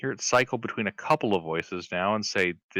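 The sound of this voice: Lively intonation in an unforced reading voice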